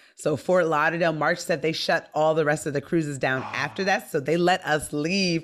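A woman with a very deep, low pitch and an animated tone, fairly quick with hardly any pauses, very even in loudness, over light background noise. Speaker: stand-up comedian. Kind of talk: casual chat. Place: home room.

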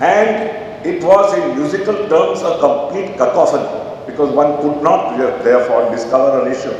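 A man talks at a moderate pace. Strong room echo and light background noise surround him. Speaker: lecturer at a memorial lecture. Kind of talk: lecture. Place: hall. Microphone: podium.

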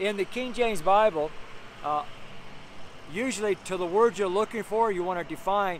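Loud and high-pitched, a man speaks with ordinary pitch variation over light background noise. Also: dry sound with no echo. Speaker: street preacher. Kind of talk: sermon preached outdoors, preacher in full flow. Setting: outdoors on a street corner. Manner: fervent, animated, exclaiming with laughs; loud, raised voice over street noise. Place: street. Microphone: phone near.

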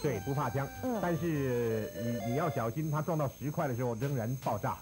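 Moderate pace, very even loudness and ordinary pitch variation, with music in the background. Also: man, medium pitch for a man. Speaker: professional broadcaster. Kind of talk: video game tutorial narration, conversational.

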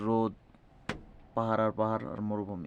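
A man speaks over a quiet background. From Bangladesh. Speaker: migrant worker vlogger. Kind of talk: personal vlog monologue. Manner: halting.

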